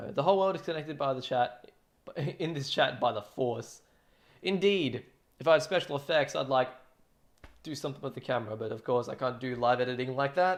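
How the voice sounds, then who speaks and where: Here a man with an Australian accent talks at a fairly quick pace, with long, frequent pauses and ordinary pitch variation. The recording is very clean, with a silent background. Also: fairly high pitch for a man. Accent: thick Australian. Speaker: drum cover streamer. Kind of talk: casual livestream chat. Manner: casual, filler-heavy.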